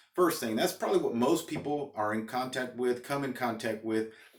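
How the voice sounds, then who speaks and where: A man's medium-pitched voice moves fairly quickly, with ordinary variation in pitch. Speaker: fragrance reviewer, YouTuber and power lineman. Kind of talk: casual vlog talk to camera. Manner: fast; halting, with many fillers and restarts.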